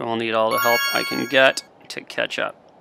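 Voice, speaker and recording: Fairly slow speech against noticeable background noise. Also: man. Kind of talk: live sailing race commentary. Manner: calm, analytical, steady; explanatory, thinking aloud mid-race.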